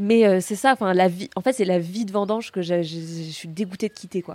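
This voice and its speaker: Dry and close with no echo, a woman's medium-pitched voice carries a dark, mellow tone. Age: 20s. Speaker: grape picker. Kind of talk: casual chat. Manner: animated.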